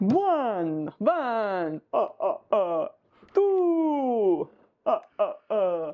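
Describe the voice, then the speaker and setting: A female-sounding, put-on character voice speaks at a high pitch and a very slow pace. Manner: stuttering, counting.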